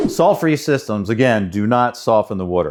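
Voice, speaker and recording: At a fairly quick pace, a man with a plain, everyday voice and a fairly low pitch talks over a quiet background. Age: 60s. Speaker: water treatment installer. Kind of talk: explainer talk to camera.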